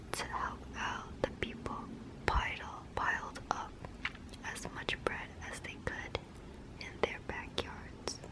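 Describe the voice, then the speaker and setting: Whispering comes at a very slow pace with long, frequent pauses. Noticeable background noise is present. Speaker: ASMR creator. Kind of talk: bedtime story reading. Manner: soft-spoken, whispered.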